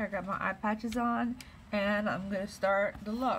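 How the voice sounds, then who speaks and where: A woman with a somewhat breathy voice keeps a fairly even intonation against light background noise. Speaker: beauty vlogger. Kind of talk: makeup tutorial chat. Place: home room. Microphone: phone near.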